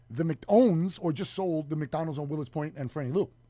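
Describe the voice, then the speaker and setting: A man's animated tone at a moderate pace, with ordinary pitch variation. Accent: New York. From New York City, Queens (Flushing). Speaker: radio show co-host. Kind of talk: casual chat.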